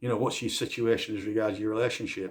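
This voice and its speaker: The recording is very clean with a silent background. The speaker sounds somewhat breathy and talks at a fairly quick pace. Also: man. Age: 60s. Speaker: dog handler and vlogger. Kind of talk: casual monologue to camera. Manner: conversational, with repetitions and false starts.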